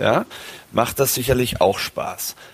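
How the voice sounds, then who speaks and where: A fairly slow-speaking man can be heard through noticeable background noise. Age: 40s. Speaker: golf professional. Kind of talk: casual chat.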